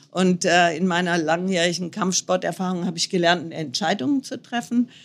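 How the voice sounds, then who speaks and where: Her voice an ordinary speaking voice, a woman talks at a moderate pace with a medium pitch and ordinary pitch variation. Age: 60s. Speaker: motorcycle traveller. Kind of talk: interview.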